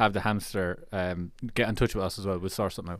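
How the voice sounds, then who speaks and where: A man speaks with a Kilkenny accent. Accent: Irish (Kilkenny area). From Ireland. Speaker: podcast co-host. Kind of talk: casual chat. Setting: studio.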